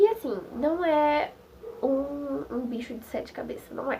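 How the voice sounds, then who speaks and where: A woman's voice, high in pitch. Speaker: nursing technician student. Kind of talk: casual vlog talk to camera. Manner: mumbled, slurred.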